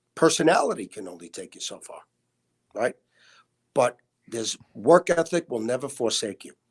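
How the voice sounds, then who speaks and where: In a Brooklyn accent, a man speaks at a moderate pace with vocal fry, recorded with a dry, close sound and no echo. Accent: New York (Brooklyn). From US Northeast, Brooklyn, New York. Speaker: hospitality executive. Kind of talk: interview. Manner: animated.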